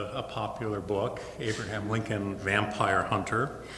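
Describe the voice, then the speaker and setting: A man talks at a fairly slow pace. There is light background noise and audible room echo. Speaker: guest lecturer. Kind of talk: lecture. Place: hall. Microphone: podium.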